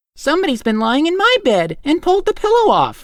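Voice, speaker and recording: A squeaky, put-on character voice at extremely high pitch, with very wide pitch swings and a fairly quick pace. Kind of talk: bedtime story. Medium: read story. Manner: calm, measured.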